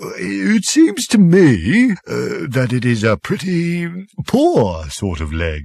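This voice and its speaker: A man puts on a character voice at a medium pitch. He talks very slowly and hardly pauses at all. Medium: read story. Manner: gentle, hesitant, kindly.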